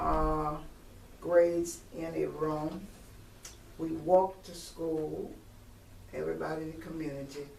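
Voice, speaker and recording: A woman at a fairly slow pace with long, frequent pauses, amid noticeable background noise and audible room echo. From US South, Virginia near Richmond. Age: 70s. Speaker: retired teacher. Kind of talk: oral history interview. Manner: hesitant, with frequent fillers.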